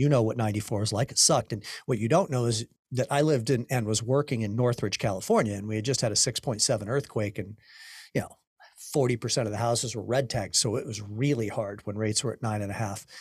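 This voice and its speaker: A man talks at a very fast pace, somewhat breathy. His intonation stays fairly even. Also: medium pitch for a man, very clean recording, silent background. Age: 50s. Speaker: podcast host, mortgage coach. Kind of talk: interview.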